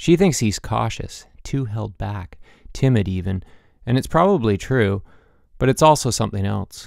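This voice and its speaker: At a moderate pace and a medium pitch, a man talks in a normal speaking voice. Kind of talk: literary audiobook reading, intimate third-person narration.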